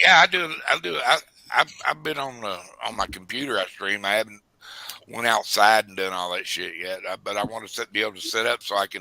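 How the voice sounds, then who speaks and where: Here is a man with an ordinary speaking voice, fairly low in pitch with ordinary pitch variation, at a fairly quick pace. The sound is dry and close with no echo. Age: 60s. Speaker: stream guest. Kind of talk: casual chat.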